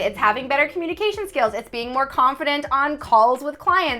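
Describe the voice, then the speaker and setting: A woman with a high voice speaks at a fairly quick pace in a raised, projected voice, her tone animated and her intonation lively. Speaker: copywriter and YouTube host. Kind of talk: casual interview chat. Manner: fast.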